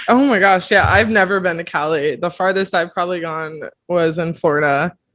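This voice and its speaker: In an American accent, a woman with an ordinary speaking voice talks at a fairly quick pace, fairly low in pitch, with ordinary pitch variation. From Pennsylvania. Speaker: podcast host, college student. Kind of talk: casual interview.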